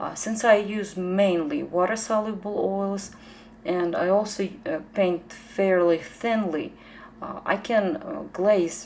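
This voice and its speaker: Speaking at a very slow pace with a strong Ukrainian accent, a woman keeps a medium pitch with ordinary pitch variation. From Ukraine. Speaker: painter. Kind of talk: tutorial. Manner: halting, many fillers.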